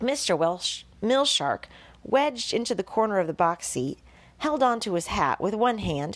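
The intonation is lively as the speaker is reading aloud in a natural voice.

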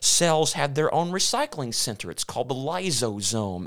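A man speaks with a Southern US accent. His pace is fairly slow. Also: very clean recording, silent background. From US South, Memphis, Tennessee. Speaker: evangelist, former scientist. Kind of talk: interview.

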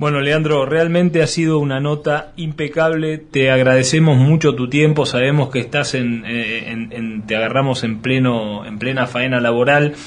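Fairly even intonation and a medium pitch mark a man's voice, delivered at a moderate pace. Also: hardly any pauses. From Argentina, Greater Buenos Aires. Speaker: radio host. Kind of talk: radio interview. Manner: halting, many repetitions.

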